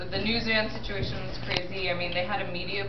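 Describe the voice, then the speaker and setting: Noticeable background noise around a woman at a fairly quick pace. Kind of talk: personal account to audience. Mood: animated, indignant. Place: cafe. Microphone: camera far.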